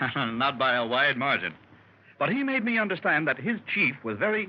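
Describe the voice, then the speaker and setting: A man speaks at a fairly high pitch with very wide pitch swings. His voice has vocal fry. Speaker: doctor telling his adventure story. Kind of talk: old-time radio drama, storytelling to a club.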